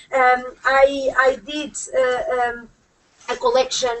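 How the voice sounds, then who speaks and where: A woman's high-pitched voice. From Portugal. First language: Portuguese. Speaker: UN human rights expert. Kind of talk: panel speech. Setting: conference room with audience. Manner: halting, many fillers.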